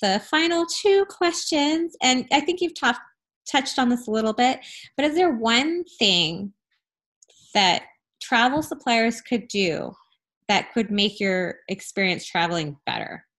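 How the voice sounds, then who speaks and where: A woman with an American accent, high-pitched with very wide pitch swings, at a fairly slow pace on a very clean recording with a silent background. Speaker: podcast host and travel advisor. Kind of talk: interview, casual conversation.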